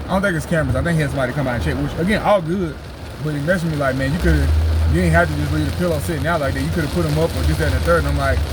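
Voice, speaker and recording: A man rushes along at a very fast pace, with audible room echo and noticeable background noise around him. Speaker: laid-off handyman vlogger. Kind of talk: casual vlog monologue. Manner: loud.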